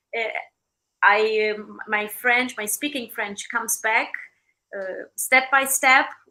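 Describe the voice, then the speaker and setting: A woman with a Romanian accent, fairly high pitch, bright, sharp tone, and fairly even intonation, at a very slow pace with long, frequent pauses and big swings in loudness. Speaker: opera singer. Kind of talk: interview. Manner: halting.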